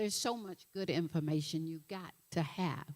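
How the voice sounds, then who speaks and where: A woman speaks with a Southern US accent at a fairly low pitch, with ordinary pitch variation and a dry, close sound with no echo. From Alabama. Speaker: nutritionist and health coach. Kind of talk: motivational talk. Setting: stage with audience. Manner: animated.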